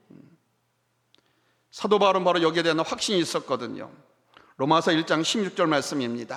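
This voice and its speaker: A man speaks at a fairly quick pace in a high pitch, with lively intonation, big swings in loudness, and long, frequent pauses. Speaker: pastor. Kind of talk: sermon. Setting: church. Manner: fast when preaching.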